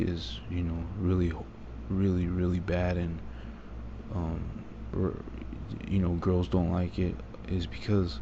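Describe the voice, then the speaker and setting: Soft-spoken and very deep, low in pitch, a man talks with audible room echo around him. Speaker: vlogger. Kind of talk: personal monologue. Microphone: quiet recording.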